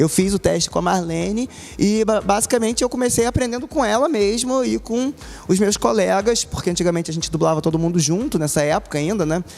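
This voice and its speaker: With lively intonation, a man talks at a fairly quick pace in a high voice over noticeable background noise. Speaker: voice actor. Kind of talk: interview answer.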